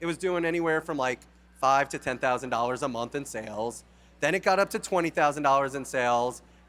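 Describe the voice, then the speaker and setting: In a New York accent, a man speaks very fast with a fairly high pitch. His tone is bright and sharp, with ordinary pitch variation. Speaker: company founder. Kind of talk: conference talk. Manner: animated.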